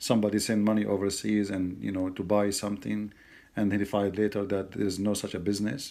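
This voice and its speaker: Over a silent background in a very clean recording, a man with an Arabic accent speaks very fast in a fairly low, dark, mellow voice with flat, monotone intonation. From Middle East. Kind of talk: casual commentary to camera.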